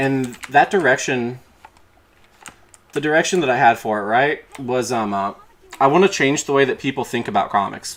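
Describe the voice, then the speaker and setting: Putting on a raspy character voice, a man speaks at a medium pitch with ordinary pitch variation, a moderate pace and long, frequent pauses. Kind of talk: casual, conversational. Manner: halting, stuttering, hesitant.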